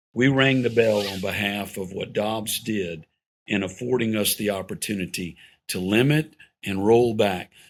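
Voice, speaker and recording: A man's fairly low-pitched, a plain, everyday voice, at a moderate pace with ordinary pitch variation, on a very clean recording with a silent background. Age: 60s. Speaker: pro-family policy organization leader. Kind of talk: podcast interview conversation.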